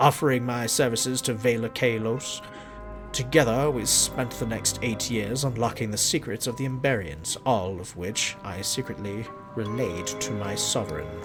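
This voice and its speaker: A man performs a put-on character voice. Loud music plays in the background. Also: medium pitch for a man, moderate pace. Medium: game stream. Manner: prissy, mild old-fashioned insults.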